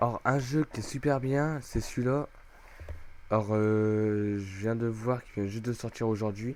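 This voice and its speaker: At a fairly slow pace, a man talks with medium pitch and fairly even intonation, broken by long, frequent pauses. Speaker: gaming youtuber. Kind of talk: screen-recorded tutorial. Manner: loud; hesitant, filler-heavy.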